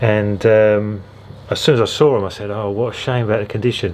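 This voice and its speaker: With an English accent, a man talks at a moderate pace in a fairly low pitch. Noticeable background noise is present. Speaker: record collector vlogger. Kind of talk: casual vlog. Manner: hesitant, many fillers.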